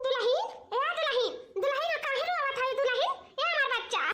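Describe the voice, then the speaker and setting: Squeaky and cartoonish, this character voice has lively intonation, a moderate pace and very even loudness. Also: woman, extremely high pitch for a woman. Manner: loud, scolding, homely.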